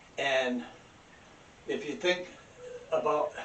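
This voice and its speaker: There is audible room echo around a man's voice. He speaks at a fairly slow pace. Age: 70s. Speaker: independent researcher. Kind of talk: demonstration lecture. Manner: casual, halting.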